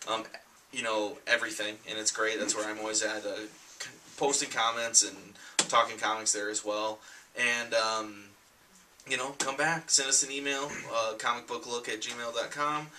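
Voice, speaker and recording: At a moderate pace, a man with a medium pitch talks in fairly even intonation, leaving long, frequent pauses over noticeable background noise. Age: 20s. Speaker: comic book show co-host. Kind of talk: casual chat.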